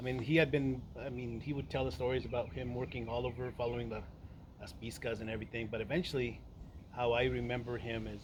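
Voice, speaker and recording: There is audible room echo around a man who speaks at a medium pitch with vocal fry. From Michoacan, Mexico and Santa Rosa, California. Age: 40s. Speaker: interviewee recounting local history. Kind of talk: oral history interview. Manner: halting, many fillers.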